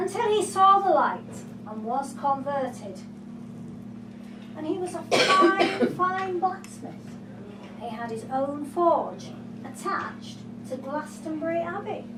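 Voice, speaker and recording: A woman with a high voice speaks at a very slow pace, leaving long, frequent pauses. Her pitch swings very widely, her loudness shifts a lot, and there is noticeable background noise. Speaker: storyteller. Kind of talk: live folktale storytelling performance. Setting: live venue, pub.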